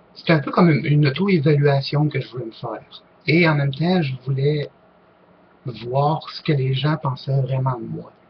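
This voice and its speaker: With a Quebec accent, a man speaks at a moderate pace and a fairly high pitch. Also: fairly even intonation. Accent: Québécois. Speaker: online group leader, paranormal YouTuber. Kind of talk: casual vlog Q&A. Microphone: poor-quality microphone.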